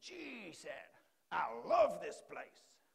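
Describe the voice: Raspy and extremely high-pitched, a man performs in a put-on character voice.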